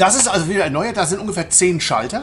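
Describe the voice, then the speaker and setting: A man speaks with lively intonation. Music plays in the background. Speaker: travel vlogger. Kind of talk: casual vlog commentary. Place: hall. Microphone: phone near.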